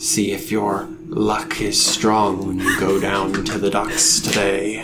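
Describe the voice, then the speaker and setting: Loud background noise surrounds a soft-spoken man doing a put-on character voice at a fairly low pitch. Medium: actual play. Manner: slow, brooding, cryptic.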